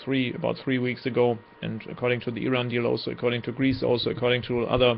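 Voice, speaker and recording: A man with a German accent speaks at a very fast pace in a medium pitch with monotone, flat intonation over noticeable background noise. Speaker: political commentator. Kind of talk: monologue commentary. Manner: halting.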